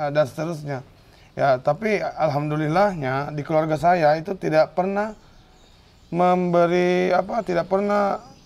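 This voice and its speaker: This man has a plain, everyday voice with a fairly high pitch. He speaks at a fairly slow pace with ordinary pitch variation. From Bone, South Sulawesi (Bugis). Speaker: art practitioner and teacher. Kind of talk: podcast interview.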